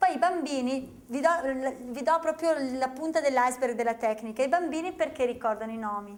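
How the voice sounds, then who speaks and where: In a Venetian accent, the speaker talks at a fairly quick pace with an animated tone and lively intonation. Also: woman. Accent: Veneto. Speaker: memory technique trainer. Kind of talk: seminar presentation to an audience. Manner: animated, conversational.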